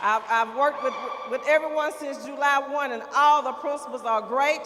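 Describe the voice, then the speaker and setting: Noticeable background noise sits behind a loud woman who speaks with a high pitch at a moderate pace. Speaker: school district administrator. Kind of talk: ceremony introductions.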